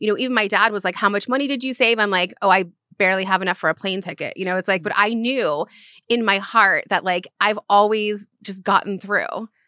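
On a very clean recording with a silent background and a dry, close sound with no echo, a woman with an American accent speaks fairly quickly at a medium pitch, using ordinary pitch variation and a bright, sharp tone. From US South (South Carolina, Florida). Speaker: brand manager and publicist. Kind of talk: casual interview chat.

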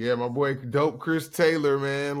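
An American-accented man, his pitch varying in an ordinary way. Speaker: podcast co-host. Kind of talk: casual chat.

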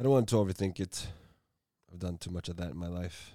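Very deep, low male voice with a dark, mellow tone, on a very clean recording with a silent background. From Norway, second-generation immigrant. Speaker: podcaster. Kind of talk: solo monologue. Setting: home room. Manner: halting.

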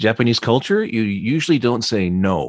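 In an ordinary speaking voice, a man talks at a fairly slow pace with lively intonation. The recording is very clean, with a silent background and a dry, close sound that has no echo. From US Midwest (Flint, Michigan). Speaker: voice-over narrator and radio DJ. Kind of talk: interview.

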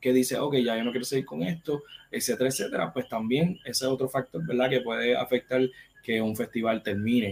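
A man talks at a fairly quick pace in a Puerto Rican accent. His pitch is medium, with ordinary pitch variation. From Puerto Rico, Caguas. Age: 30s. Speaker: film critic and producer. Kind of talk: casual interview chat.

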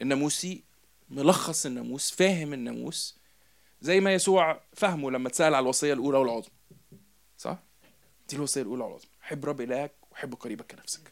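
A plain, everyday voice from a man, fairly high in pitch, with ordinary pitch variation and big swings in loudness. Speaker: preacher. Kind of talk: sermon.

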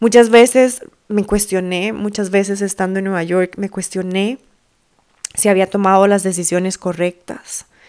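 Her intonation stays fairly even at a medium pitch. The woman speaks at a fairly slow pace. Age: 30s. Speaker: podcast host and women's coach. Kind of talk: reflective solo monologue.

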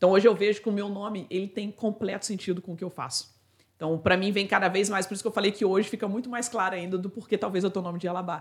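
Somewhat breathy, a woman at a medium pitch talks at a very fast pace with fairly even intonation. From Brazil, Itatiaia (Rio de Janeiro state). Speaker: customer success expert and author. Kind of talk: interview conversation.

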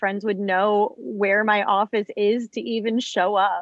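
Heard as dry, close sound with no echo, an ordinary speaking voice moves with ordinary pitch variation. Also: woman. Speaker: Hollywood historian, YouTuber, podcast host.

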